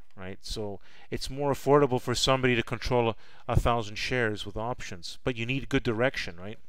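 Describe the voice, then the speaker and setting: The man's delivery is fairly quick. He keeps a medium pitch that shifts by an ordinary amount. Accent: Canadian. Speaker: stock trading educator. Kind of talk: live stream chat. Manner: repetitive stammering restarts.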